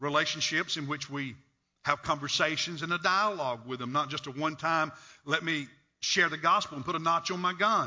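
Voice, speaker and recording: A man talks in a normal speaking voice with a fairly high pitch. His pitch variation is ordinary. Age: 60s. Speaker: pastor. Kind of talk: sermon. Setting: church.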